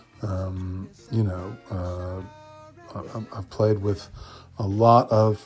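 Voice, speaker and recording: A man speaks with an American accent and ordinary pitch variation while music plays in the background. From US South, Memphis, Tennessee. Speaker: musician. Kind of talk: interview. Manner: hesitant, many fillers.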